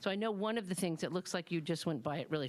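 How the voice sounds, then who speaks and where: Her pitch, a woman's, varies in an ordinary way. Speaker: member of the public at a school budget hearing. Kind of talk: public comment at a meeting. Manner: loud.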